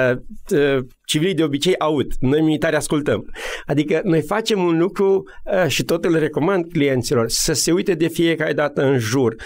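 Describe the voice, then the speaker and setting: Speaking at a moderate pace, a man has a plain, everyday voice, fairly high in pitch, with ordinary pitch variation and very even loudness. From Romania, Maramureș. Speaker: military officer and business coach. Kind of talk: radio interview.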